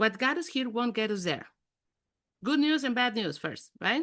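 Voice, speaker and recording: Over a quiet background, a woman with a high pitch speaks at a moderate pace in an animated tone, her pitch swinging very widely. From Mexico City. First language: Spanish. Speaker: executive coach. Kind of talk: interactive online workshop talk.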